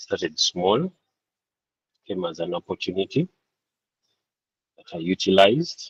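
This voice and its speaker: A soft-spoken man at a very slow pace, in a dry, close sound with no echo. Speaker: part-time farmer and accountant. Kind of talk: panel discussion. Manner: halting. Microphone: too quiet.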